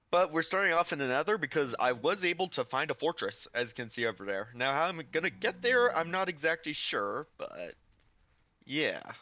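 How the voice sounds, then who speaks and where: A man's fairly high voice with very wide pitch swings, vocal fry, and a moderate pace. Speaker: gaming video creator. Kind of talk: gameplay commentary.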